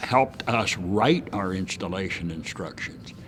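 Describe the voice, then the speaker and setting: Music is playing behind the voice. A man's pitch swings very widely as he talks. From San Francisco. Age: 70s. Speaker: retired industry executive. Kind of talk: interview answer. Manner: casual storytelling.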